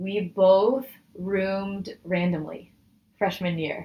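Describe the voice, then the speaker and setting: A woman with a Midwestern US accent at a very slow pace. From Michigan, US Midwest. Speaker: data scientist. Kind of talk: casual interview chat.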